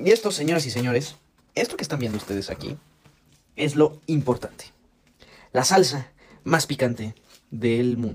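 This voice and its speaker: Talking at a fairly quick pace, a man uses a medium pitch with ordinary pitch variation and an animated tone. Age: young. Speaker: podcast co-host. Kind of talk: food challenge demonstration.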